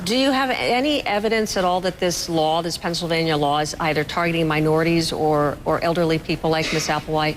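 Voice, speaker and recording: A woman with a fairly low pitch speaks at a fairly quick pace, hardly pausing at all. Her loudness is very even, her pitch varies in an ordinary way, and background noise is noticeable. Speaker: news anchor. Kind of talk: TV news interview.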